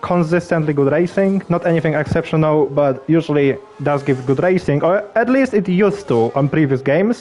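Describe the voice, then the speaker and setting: There is noticeable background noise behind this man. He has a fairly high pitch and a non-native accent. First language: not English. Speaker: sim racing league commentator. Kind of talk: live commentary. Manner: halting, repeats words; casual, relaxed.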